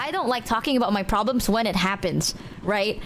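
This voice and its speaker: A woman speaks at a fairly quick pace in a fairly high voice, with noticeable background noise. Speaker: streamer. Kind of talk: casual chat. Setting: live stream.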